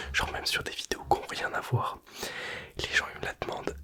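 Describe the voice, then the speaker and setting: Whispering man against noticeable background noise. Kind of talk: ASMR product presentation. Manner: whispered, soft-spoken; casual, chatty.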